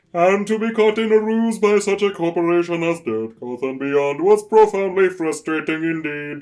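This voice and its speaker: A put-on character voice from a man, high in pitch, at a moderate pace. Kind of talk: formal, stilted.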